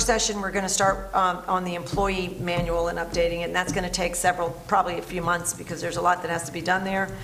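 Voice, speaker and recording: A woman's very fast speech with audible room echo and noticeable background noise. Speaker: town board official. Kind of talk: public meeting report. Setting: town board meeting.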